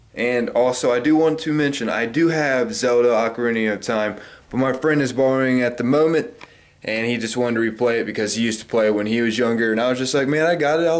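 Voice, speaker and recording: A man talks at a very fast pace in a medium pitch with ordinary pitch variation. Audible room echo surrounds his voice. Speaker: gaming YouTuber. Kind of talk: casual vlog show-and-tell. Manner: animated.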